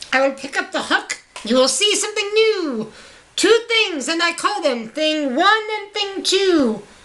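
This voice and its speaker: Using a put-on character voice, a woman talks at a moderate pace with an extremely high pitch. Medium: read story. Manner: playful, showy.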